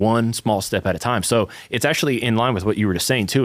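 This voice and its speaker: On a very clean recording with a silent background, a man with a fairly low pitch and a slight Southern US accent talks at a very fast pace. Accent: slight Southern twang. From US South. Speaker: church podcast co-host. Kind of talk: casual chat.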